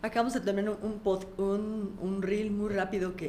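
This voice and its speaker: Over noticeable background noise and audible room echo, a woman speaks at a very slow pace. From Mexico, Comitán, Chiapas. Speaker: life coach and author. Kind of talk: interview. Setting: studio.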